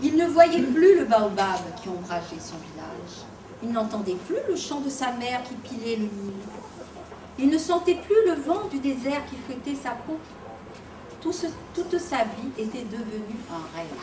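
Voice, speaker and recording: A woman with a high-pitched voice speaks at a fairly slow pace, her pitch swinging very widely and her loudness rising and falling sharply, with long, frequent pauses and noticeable background noise. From Réunion. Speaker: storyteller. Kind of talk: live storytelling to children. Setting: live audience.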